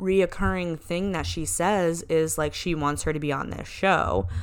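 A normal speaking voice speaks with fairly even intonation. The recording is very clean with a silent background. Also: woman. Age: 20s. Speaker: podcast co-host. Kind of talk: casual chat.

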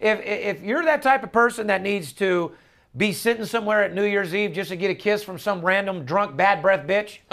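A man speaks in an animated tone with a high pitch. His pace is moderate. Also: ordinary pitch variation. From Las Vegas. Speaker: sports betting handicapper and podcast host. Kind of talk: casual chat; sales pitch.

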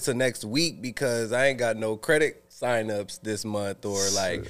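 He is a man with a normal speaking voice. His pitch varies in an ordinary way at a moderate pace. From US West Coast, San Francisco Bay Area. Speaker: entrepreneur in real estate and credit. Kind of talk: casual chat.

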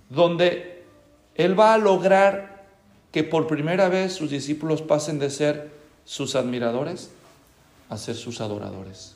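A man speaking at a fairly slow pace with lively intonation, audible room echo around him. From Mexico, Guadalajara. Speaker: pastor. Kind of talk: sermon.

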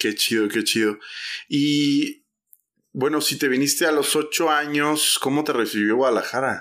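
Using an ordinary speaking voice, a man talks at a fairly slow pace with a fairly high pitch, ordinary pitch variation and very even loudness. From Mexico, Oaxaca. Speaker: church podcast host. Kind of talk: casual interview.

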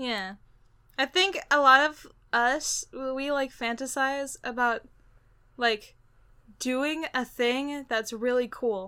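A high-pitched woman's raised, projected voice at a very slow pace, with long, frequent pauses, on a very clean recording with a silent background. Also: ordinary pitch variation. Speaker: podcast co-host; voice actor. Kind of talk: casual chat. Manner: animated.

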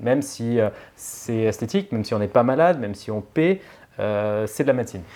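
A man speaks at a fairly quick pace with a dark, mellow tone. His pitch is medium and his intonation lively. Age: 40s. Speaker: plastic surgeon. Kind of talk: casual chat. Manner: halting.

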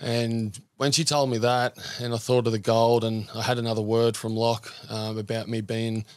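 A man with an Australian accent, medium in pitch, monotone and flat, at a moderate pace. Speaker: former rugby league player, men's group founder. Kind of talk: casual interview. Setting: studio.

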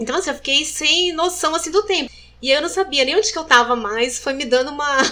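Her voice is raised and projected, high-pitched with a bright, sharp tone. The woman talks at a fairly quick pace with lively intonation. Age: 40s. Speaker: breast cancer survivor. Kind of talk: testimony.

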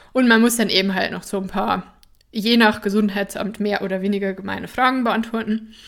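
On a very clean recording with a silent background, a woman of medium pitch talks at a fairly quick pace in a flat monotone. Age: 20s. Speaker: somatic therapist and podcast host. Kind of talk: personal storytelling monologue. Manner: casual, with frequent fillers and laughter.

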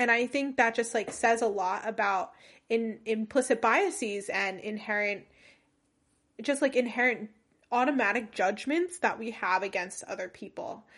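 Against a quiet background, a woman with an American accent uses a normal speaking voice, fairly high in pitch, with lively intonation at a moderate pace. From US, New Jersey. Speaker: podcast host. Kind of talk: casual chat.

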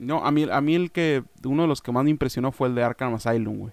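At a fairly quick pace, a man talks with a Mexican accent. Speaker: podcast co-host. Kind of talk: casual chat.

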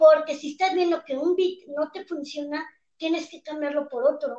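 This woman speaks in a Mexican accent at a moderate pace. Her intonation stays fairly even. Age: 20s. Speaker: stand-up comedian. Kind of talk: casual chat. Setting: video call.

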